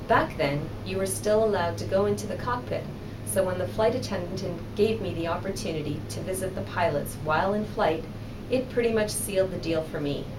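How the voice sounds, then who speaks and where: In a Canadian accent, a woman with fairly low pitch talks at a fairly quick pace with very wide pitch swings, amid noticeable background noise and audible room echo. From Canada, Toronto. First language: Spanish. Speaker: aerospace engineering executive. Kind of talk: recorded motivational speech. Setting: video recording.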